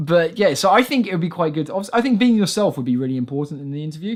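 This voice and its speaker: A man with an English accent, fairly high-pitched, at a very fast pace. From England. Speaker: podcast host. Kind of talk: casual chat.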